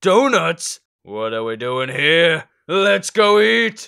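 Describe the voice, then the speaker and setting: The man's pitch is fairly high and swings very widely. He talks at a very slow pace. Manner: pompous, then easily distracted.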